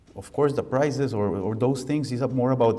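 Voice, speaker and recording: A man with a Costa Rican accent, ordinary pitch variation and audible room echo. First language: Spanish. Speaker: architect. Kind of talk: lecture.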